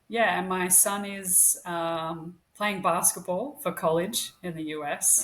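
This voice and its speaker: At a very slow pace yet with hardly any pauses, a woman with an Australian accent speaks at medium pitch with ordinary pitch variation on a very clean recording with a silent background. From Australia, Queensland (Brisbane). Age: 40s. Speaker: podcast co-host, registered nurse. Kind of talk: casual interview chat.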